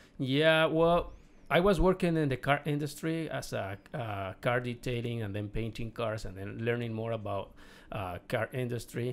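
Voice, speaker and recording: With a Mexican accent, a man speaks at a moderate pace and with lively intonation. The recording is very clean, with a silent background. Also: medium pitch for a man. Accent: Mexican Spanish accent, non-fluent English. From Mexico. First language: Spanish. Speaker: real estate investor. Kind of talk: podcast interview. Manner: halting, repeats words.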